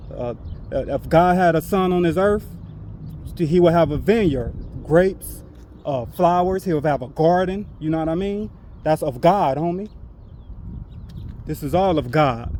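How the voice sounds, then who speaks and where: A man shouts loudly in a high-pitched voice with a dark, mellow tone and ordinary pitch variation. He leaves long, frequent pauses. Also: moderate pace. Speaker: religious street teacher / vlogger. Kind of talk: preaching monologue to camera. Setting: outdoors, walking. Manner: loud, yelling; halting with many fillers.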